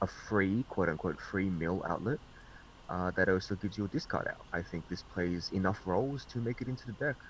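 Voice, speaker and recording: A man with an Australian accent and a very deep, low pitch, at a fairly quick pace with ordinary pitch variation. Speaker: card game reviewer. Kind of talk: casual group discussion. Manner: sarcastic.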